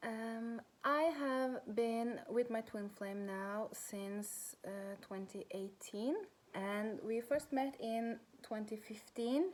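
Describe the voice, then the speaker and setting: A woman with a Norwegian accent speaks very slowly at a fairly high pitch, with ordinary pitch variation. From Norway. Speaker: spiritual coach. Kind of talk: personal vlog talk. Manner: halting.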